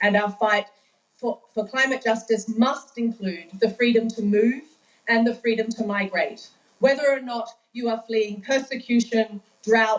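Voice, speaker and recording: With an Australian accent, a woman speaks at a fairly slow pace in a fairly high pitch and fairly even intonation. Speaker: activist, coalition coordinator. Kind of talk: speech to audience. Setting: stage with audience.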